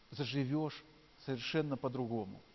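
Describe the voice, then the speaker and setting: A man talks at a fairly slow pace. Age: 40s. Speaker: pastor. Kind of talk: sermon.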